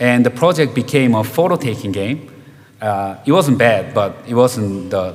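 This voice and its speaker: With audible room echo, a man at medium pitch talks at a moderate pace with ordinary pitch variation. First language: Korean. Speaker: game director. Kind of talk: conference talk. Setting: stage with audience.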